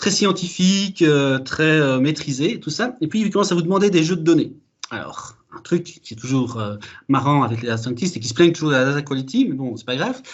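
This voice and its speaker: Audible room echo surrounds a man who talks at a fairly quick pace in a fairly high pitch. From Belgium. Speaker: data architect, conference speaker. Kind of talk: conference talk. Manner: hesitant, many fillers.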